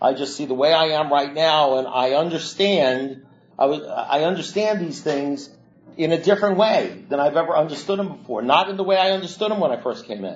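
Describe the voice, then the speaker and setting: With lively intonation and a fairly high pitch, a man talks at a fairly quick pace. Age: 60s. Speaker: AA speaker in recovery. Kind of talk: recovery talk to a meeting. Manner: halting.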